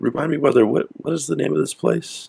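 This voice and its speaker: Very fast and raspy, a man performs a put-on character voice. His pitch sits in the medium range. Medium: actual play.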